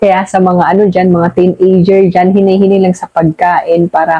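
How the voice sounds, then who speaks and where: A woman with a medium-pitched, dark, mellow voice talks at a moderate pace in a dry, close recording with no echo. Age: middle-aged. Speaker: YouTube vlogger. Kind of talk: casual chat. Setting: at home at night.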